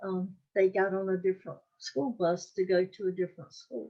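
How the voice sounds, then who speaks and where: A woman with a North Carolina accent speaks at a very slow pace and a medium pitch, her tone dark and mellow. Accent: Southern US (North Carolina). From US South, North Carolina (Wake County). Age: 80s+. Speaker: oral history interviewee. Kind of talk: interview. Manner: halting, many fillers.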